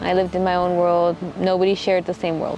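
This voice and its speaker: A speaker talks with a Texan accent while music plays in the background. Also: woman. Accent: Texan American English. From Texas, Midland. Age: 20s. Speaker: missionary. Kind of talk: documentary interview testimony. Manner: reflective, halting.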